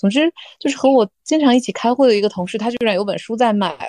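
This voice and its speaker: A woman speaks at a very fast pace with a dark, mellow tone. The sound is dry and close, with no echo. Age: 30s. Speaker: office worker. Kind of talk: casual chat.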